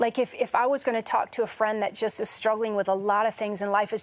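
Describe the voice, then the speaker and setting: In an animated tone, a woman speaks at a fairly quick pace with a fairly high pitch. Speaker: TV co-host. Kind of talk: interview. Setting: studio. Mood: warm, earnest. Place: studio.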